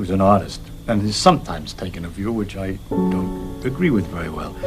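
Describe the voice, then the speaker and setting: A man's very deep, low pitch with big swings in loudness, over music in the background. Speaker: scientist. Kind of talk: interview answer. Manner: passionate.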